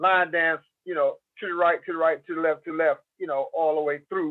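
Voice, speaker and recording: With an American accent, a man speaks using lively intonation. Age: 60s. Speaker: DJ and rapper. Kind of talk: interview conversation. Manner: animated storytelling.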